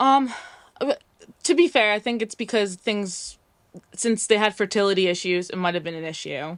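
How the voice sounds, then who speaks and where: With an American accent, a woman speaks at a medium pitch and a moderate pace. Her intonation is lively, broken by long, frequent pauses. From US, New York. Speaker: caller. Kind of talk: call-in advice chat. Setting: call with camera off.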